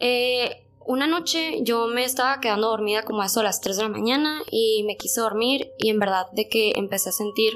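Noticeable background noise with ordinary variation in pitch. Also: woman, fairly high pitch for a woman, moderate pace, hardly any pauses, very even loudness. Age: 20s. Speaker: podcast guest. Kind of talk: storytelling.

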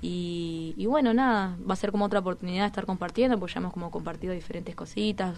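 A very fast-paced woman's voice, fairly low in pitch, with ordinary pitch variation. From Uruguay, Toledo (Canelones). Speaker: rapper. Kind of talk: interview chat.

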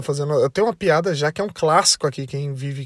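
A man talks at a very fast pace in a fairly high, somewhat breathy voice with an animated tone. The sound is dry and close, with no echo. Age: 30s. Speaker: podcast host. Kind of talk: comedic monologue.

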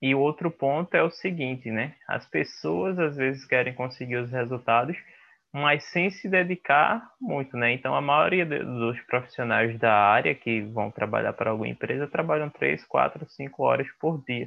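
An ordinary speaking voice from a man, medium in pitch, at a moderate pace with lively intonation and hardly any pauses. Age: young. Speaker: podcast host. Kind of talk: interview.

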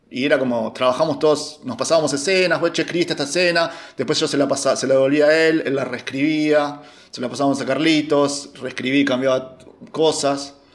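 A man's monotone, flat delivery at a fairly high pitch and fairly quick pace, with noticeable background noise. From Argentina, Buenos Aires area. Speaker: film director and screenwriter. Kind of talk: casual chat. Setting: at home, remote call.

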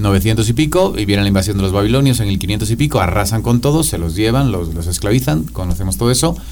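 Over noticeable background noise and audible room echo, a man with a fairly low pitch and lively intonation talks at a very fast pace with hardly any pauses. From Spain, Madrid. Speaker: professor. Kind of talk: casual chat.

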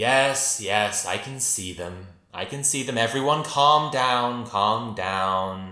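At a very slow pace, a man booms out a put-on character voice at medium pitch, with slight echo. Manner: calm, commanding.

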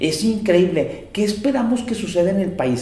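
A high-pitched man speaks at a fairly quick pace with ordinary pitch variation, amid noticeable background noise and audible room echo. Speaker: security consultant and webinar host. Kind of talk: presentation.

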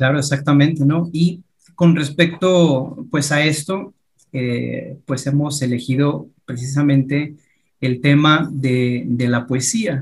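A man's somewhat breathy voice, fairly high in pitch, at a very slow pace with fairly even intonation. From Mexico. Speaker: podcast host. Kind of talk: casual interview.

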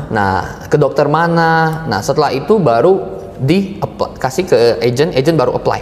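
A man speaks with lively intonation and very even loudness. Audible room echo and noticeable background noise surround the voice. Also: fairly high pitch for a man, moderate pace. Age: 20s. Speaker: insurance agency manager. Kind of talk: casual interview.

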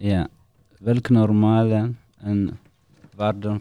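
Very slowly, a man speaks in a dark, mellow tone with monotone, flat intonation. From Eritrea. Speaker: refugee living in the Netherlands. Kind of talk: casual interview, guided by a card game.

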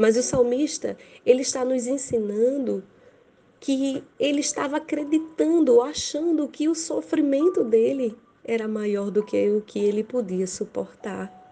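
This woman's voice sits high, with lively intonation. She talks at a fairly slow pace. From Brazil, Rio Grande do Norte. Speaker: evangelical preacher. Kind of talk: sermon.

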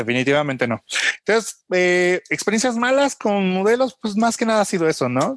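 A man with a Mexican accent talks at a moderate pace in a dry, close sound with no echo. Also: quiet background. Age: 30s. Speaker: photographer. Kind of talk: casual chat.

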